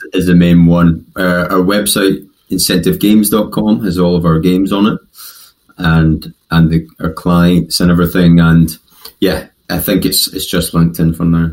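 A man with a West Coast Scottish accent speaks in a very deep, low pitch. His pace is fairly slow and his intonation fairly even. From West of Scotland. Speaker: podcast guest, company CEO.

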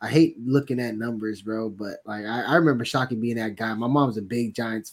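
A man speaks in a plain, everyday voice at a medium pitch. His pace is moderate and his intonation fairly even. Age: 20s. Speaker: sports podcast co-host. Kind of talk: casual chat.

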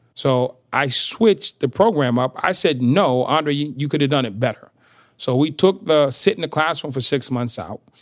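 This man has a plain, everyday voice with a fairly high pitch and lively intonation. He speaks at a moderate pace on a very clean recording with a silent background. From US Northeast, inner-city Boston. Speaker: motivational speaker, former prisoner. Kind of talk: interview.

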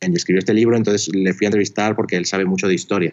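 The speaker is a man. His voice is very deep and low in pitch. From northern Spain (Pamplona, Navarre). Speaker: documentary filmmaker. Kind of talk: interview conversation.

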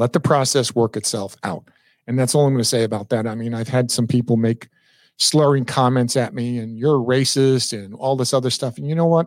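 With an ordinary speaking voice, a man with an American accent talks at a fairly quick pace and medium pitch with ordinary pitch variation, on a very clean recording with a silent background. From Long Island, New York. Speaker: real estate broker and instructor. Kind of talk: casual solo livestream monologue. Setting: live stream.

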